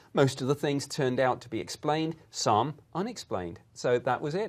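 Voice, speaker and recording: A man with a British accent and a fairly high pitch speaks at a very fast pace. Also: very clean recording, silent background. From Britain. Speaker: former government UFO investigator. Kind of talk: interview.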